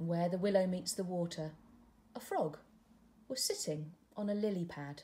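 A woman speaks at a moderate pace with a dark, mellow tone, a fairly low pitch and ordinary pitch variation.

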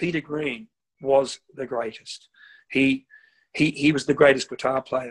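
Over a quiet background, a man with a fairly high voice and an Australian accent speaks at a fairly slow pace with fairly even intonation. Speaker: band manager. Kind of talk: interview. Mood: earnest, reminiscing. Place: home room. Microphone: video call.

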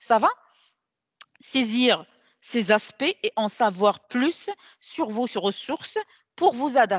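Very slow speech in a Moroccan accent, with long, frequent pauses and very wide pitch swings, comes through with a dry, close sound with no echo. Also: woman, high pitch for a woman. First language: Moroccan Arabic (speaking French). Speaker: trainer. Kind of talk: lecture.

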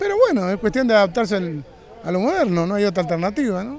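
A man speaks with high pitch and lively intonation. The sound is dry with no echo, and crowd noise fills the background. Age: old. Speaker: retired professor and former TV director; retired professor. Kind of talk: interview. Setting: inauguration event. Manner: halting, with repetitions. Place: open country.

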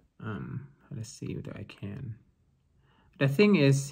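The voice belongs to a man and carries vocal fry. Behind him, the background stays quiet. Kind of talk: casual vlog chat. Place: home room. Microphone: phone near.

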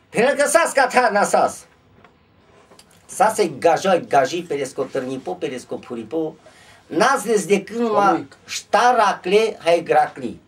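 A man speaks at a very slow pace with a high pitch. His pitch swings very widely. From Maramureș, Romania. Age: 50s. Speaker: storyteller, broomstick maker. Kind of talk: folk storytelling.

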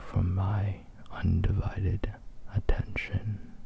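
A soft-spoken voice comes through dry with no echo over light background noise. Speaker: roleplay voice actor. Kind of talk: audio roleplay performance. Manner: soft, slow, intimate ASMR roleplay voice.

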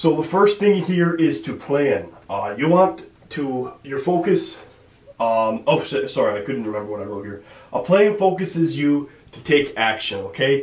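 Audible room echo surrounds a man speaking at a moderate pace in a fairly high voice, with very wide pitch swings and big swings in loudness. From United States. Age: 20s. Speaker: personal finance YouTuber. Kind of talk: casual talk-to-camera tutorial. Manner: casual, with frequent fillers (um, uh). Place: home room.

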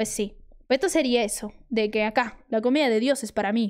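The speaker has an animated tone against a quiet background. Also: woman. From Peru, Arequipa; Peru. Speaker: content creator. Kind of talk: casual chat. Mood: relaxed, playful. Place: home room. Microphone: studio mic.

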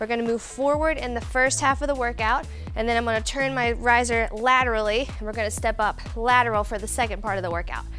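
A woman's very fast speech over faint background music. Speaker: fitness instructor. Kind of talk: workout instruction. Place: studio. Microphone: lapel.

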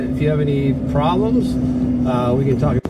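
A man talks with ordinary pitch variation over loud background noise. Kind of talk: casual vlog chat. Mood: playful, joking. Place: car. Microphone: phone near.

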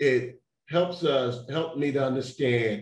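A somewhat breathy man's voice with audible room echo. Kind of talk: panel talk. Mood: earnest, serious. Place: home room. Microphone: video call.

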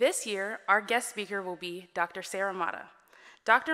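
A woman with an American accent talks at a fairly quick pace and medium pitch, with ordinary pitch variation and a bright, sharp tone, over a quiet background. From Texas, Dallas. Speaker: student speaker. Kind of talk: speech. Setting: stage with audience. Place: hall. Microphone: podium.

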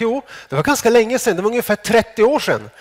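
Over a quiet background, a man talks at a very fast pace in an extremely high voice. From Sweden. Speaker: psychologist and academic. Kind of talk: lecture. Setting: stage with audience. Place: stage. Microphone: headset.

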